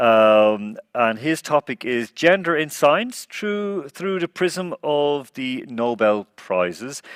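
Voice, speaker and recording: The speech moves at a very slow pace with hardly any pauses and very wide pitch swings, in a dry, close sound with no echo. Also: man, fairly high pitch for a man. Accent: Irish. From Ireland. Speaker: forum host. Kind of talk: forum moderation.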